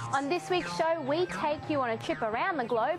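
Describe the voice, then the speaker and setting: Music plays in the background as a woman with a high pitch talks at a fairly quick pace with very wide pitch swings. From Australia. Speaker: TV host and actress. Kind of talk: fashion show hosting intro.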